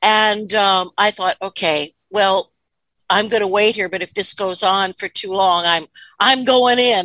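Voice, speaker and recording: The voice has a bright, sharp tone, a fairly slow pace and ordinary pitch variation. The sound is dry and close with no echo, and the background is quiet. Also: woman, medium pitch for a woman. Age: 60s. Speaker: author and hypnotherapist. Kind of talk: interview.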